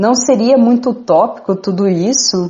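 A somewhat breathy woman talks at a fairly slow pace. Her intonation is lively. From Mato Grosso do Sul, Brazil (Bataiporã). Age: 30s. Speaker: Franciscan nun. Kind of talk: radio interview.

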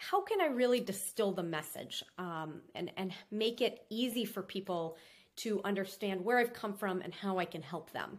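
An ordinary speaking voice belonging to a woman, at medium pitch, keeps a moderate pace. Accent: American. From Minnesota. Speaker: restaurant owner and business consultant. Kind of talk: interview.

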